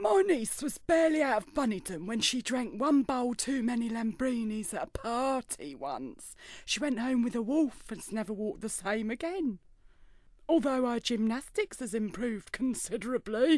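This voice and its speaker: A female-sounding voice in a put-on character voice speaks at a moderate pace with a high pitch, on a very clean recording with a silent background. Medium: audio drama. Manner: prim, sardonic.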